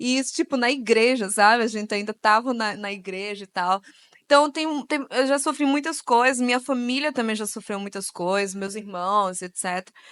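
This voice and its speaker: A woman's fairly high voice carries ordinary pitch variation and moves at a moderate pace. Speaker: author and speaker on racism. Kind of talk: panel talk / interview at a church event. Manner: casual, with many filler words.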